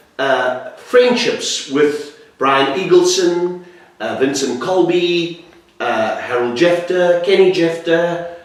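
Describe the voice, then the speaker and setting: A man with a high voice speaks at a very slow pace with ordinary pitch variation, with noticeable background noise and audible room echo. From South Africa. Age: 50s. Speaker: jazz musician and interviewer. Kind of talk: interview.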